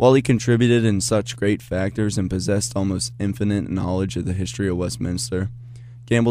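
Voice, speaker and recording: With a normal speaking voice, this man talks at a fairly quick pace, his fairly low pitch carried by lively intonation. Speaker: student TV reporter. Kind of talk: news package narration.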